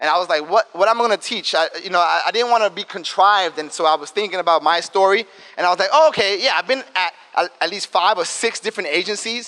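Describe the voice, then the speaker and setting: A man with a high-pitched, raised, projected voice talks at a fairly quick pace with ordinary pitch variation. The sound is dry and close, with no echo. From New York, South Bronx. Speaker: diversity and inclusion director, advertising strategist. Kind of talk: talk to students. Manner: fast; casual, animated.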